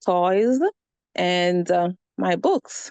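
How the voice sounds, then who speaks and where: A woman with a Jamaican accent speaks at a medium pitch. The sound is dry and close with no echo, over a quiet background. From Jamaica, Spanish Town. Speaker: immigrant interviewee. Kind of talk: interview.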